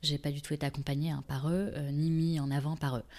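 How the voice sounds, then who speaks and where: A woman is speaking. Her tone is dark and mellow. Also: very clean recording, silent background. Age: 30s. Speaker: shoe brand founder. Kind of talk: interview. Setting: brand showroom. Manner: hesitant, many fillers.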